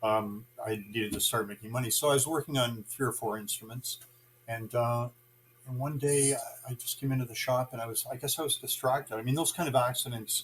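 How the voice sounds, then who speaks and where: A man with a Canadian accent, medium-pitched and somewhat breathy, at a fairly quick pace, fairly even in intonation, with big swings in loudness. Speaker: guitar builder. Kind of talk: interview. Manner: halting.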